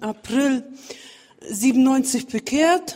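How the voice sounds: Slow and dark, mellow in tone, a woman's fairly high voice moves with ordinary pitch variation.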